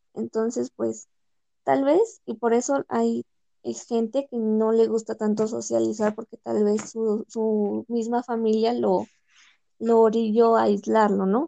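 With a dry, close sound and no echo, a woman speaks at a very slow pace. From Mexico, Pachuca, Hidalgo. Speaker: law student. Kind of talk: casual chat.

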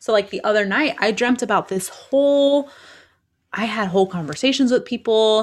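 A woman uses a normal speaking voice at a moderate pace with ordinary pitch variation. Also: fairly high pitch for a woman. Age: 30s. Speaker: podcast co-host. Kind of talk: casual chat.

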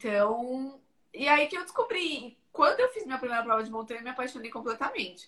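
A woman's raised, projected voice sounds bright and sharp, high in pitch and lively in intonation. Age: 30s. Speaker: ultramarathon trail runner. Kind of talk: casual interview.

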